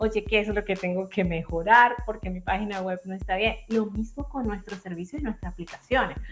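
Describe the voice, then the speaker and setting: Barely pausing, a woman talks at a moderate pace with music in the background. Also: medium pitch for a woman. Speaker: engineer and startup founder. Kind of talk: casual chat. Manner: animated.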